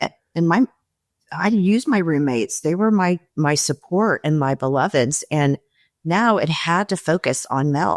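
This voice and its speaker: A woman with an American accent speaks at a moderate pace in a plain, everyday voice, fairly low-pitched with lively intonation and very even loudness, on a very clean recording with a silent background and a dry, close sound with no echo. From Texas, Houston. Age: 60s. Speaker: reality TV contestant. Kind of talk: interview.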